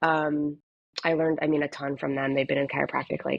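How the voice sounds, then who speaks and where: In a very deep, low pitch, a woman talks with monotone, flat intonation. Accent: American. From US West Coast, San Diego. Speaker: chiropractor. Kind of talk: podcast interview. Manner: casual, filler-heavy.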